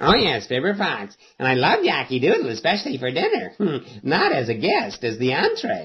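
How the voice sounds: A man's cartoonish character voice, fairly high in pitch, at a moderate pace.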